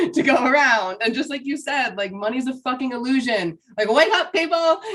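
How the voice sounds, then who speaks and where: There is noticeable background noise behind this woman. Her tone is animated, with lively intonation at a moderate pace. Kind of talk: casual chat.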